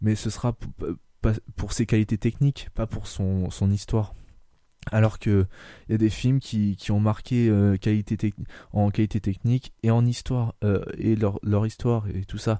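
A man with a fairly low pitch and a dark, mellow tone speaks at a fairly slow pace, his intonation monotone and flat. Long, frequent pauses break up his speech, which sounds dry and close with no echo. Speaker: podcast host. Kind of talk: casual chat.

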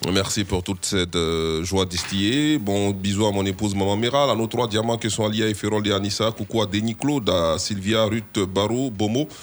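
Over noticeable background noise, a man speaks at a moderate pace in a fairly low voice, with fairly even intonation and very even loudness. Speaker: radio host. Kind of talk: satirical news talk show.

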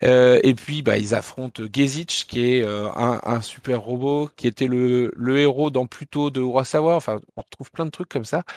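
A man with a normal speaking voice and medium pitch talks at a fairly slow pace with hardly any pauses and fairly even intonation, in a dry, close sound with no echo. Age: 40s. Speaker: manga publisher and festival founder. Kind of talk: interview.

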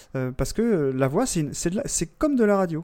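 The man's voice is high-pitched. Its tone is dark and mellow. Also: very clean recording, silent background. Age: 40s. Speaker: podcaster. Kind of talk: casual chat.

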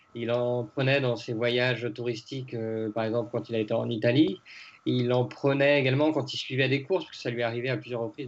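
A man speaks at a fairly quick pace with fairly even intonation. His pitch is medium. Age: 30s. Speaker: cycling author and sports correspondent. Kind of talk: podcast interview. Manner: hesitant, many fillers.

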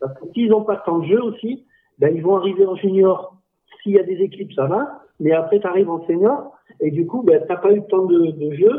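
A man's high pitch with ordinary pitch variation. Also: moderate pace. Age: 40s. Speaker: dodgeball club president. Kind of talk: casual chat.

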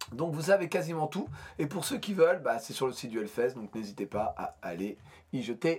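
A man with a fairly high, somewhat breathy voice talks at a moderate pace. His pitch swings very widely. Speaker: podcast host. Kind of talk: casual chat.

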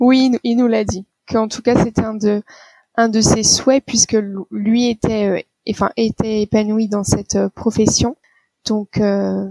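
In a dry, close sound with no echo, a woman talks very slowly at a fairly high pitch, her intonation monotone and flat. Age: 30s. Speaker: doctor. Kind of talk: interview.

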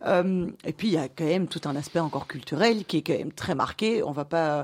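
In a very clean recording with a silent background, a woman with a normal speaking voice talks at a moderate pace, her pitch fairly low with ordinary variation. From Belgium, Brussels. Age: 30s. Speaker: director of an entrepreneurs' network. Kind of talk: interview.

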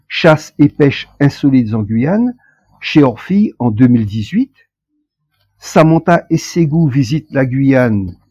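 A man speaks at a very slow pace with a dark, mellow tone and lively intonation. The sound is dry and close, with no echo. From French Guiana. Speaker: author and poet. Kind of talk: interview. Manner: hesitant, with frequent fillers.

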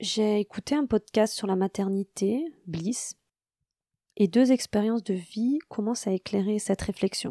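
On a very clean recording with a silent background and a dry, close sound with no echo, a woman speaks at a fairly slow pace with a fairly high pitch and a dark, mellow tone. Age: 40s. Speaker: podcast host, mother of a deaf child. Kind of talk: personal narration.

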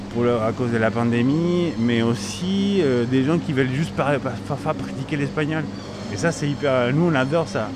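At a moderate pace, a man with a medium pitch talks with lively intonation and very even loudness, with audible room echo and noticeable background noise. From Chile. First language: Spanish (speaking French). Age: 30s. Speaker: grocery shop owner. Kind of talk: interview. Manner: halting, repeats words.

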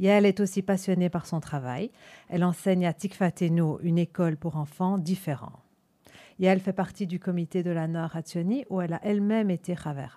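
In an Antwerp accent, a woman talks at a moderate pace with a fairly low pitch, fairly even intonation and a dark, mellow tone. The sound is dry and close with no echo, on a very clean recording with a silent background. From Antwerp, Belgium. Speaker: radio host. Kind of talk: scripted introduction; radio interview.

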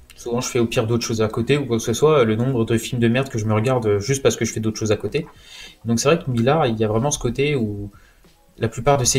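A somewhat breathy man's voice, medium in pitch, with fairly even intonation at a very fast pace. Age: 20s. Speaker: comics enthusiast. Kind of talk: casual chat.

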